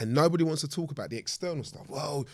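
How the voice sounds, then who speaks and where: Speaking with a London accent, a man has a fairly high pitch. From southeast London. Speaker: charity founder and author. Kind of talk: casual discussion.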